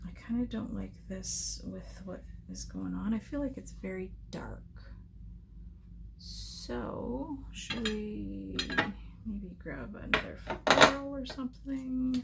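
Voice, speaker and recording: A soft-spoken woman whispers at a very slow pace, with long, frequent pauses and big swings in loudness. Noticeable background noise and audible room echo are present. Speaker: scrapbooking crafter. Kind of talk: crafting tutorial. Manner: muttering to herself; soft-spoken, near whisper.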